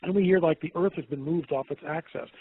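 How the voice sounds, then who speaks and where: In an ordinary speaking voice, a man talks at a fairly high pitch and a fairly quick pace with fairly even intonation. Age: 60s. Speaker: documentary producer. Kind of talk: interview.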